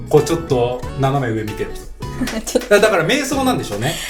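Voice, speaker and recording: A man's pitch swings very widely. Behind him, music plays. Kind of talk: casual radio talk.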